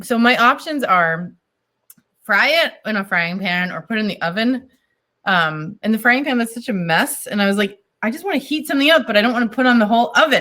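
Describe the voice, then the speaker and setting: A woman speaks fairly quickly in a fairly high pitch with a slight Boston accent. Her tone is bright, sharp and animated, with lively intonation. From US Northeast, Boston. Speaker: wine importer. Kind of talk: casual chat. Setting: video call.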